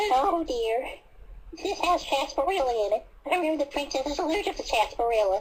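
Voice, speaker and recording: A female-sounding, put-on character voice speaks at a high pitch. The pace is very fast. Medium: fan dub. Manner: fast, rambling.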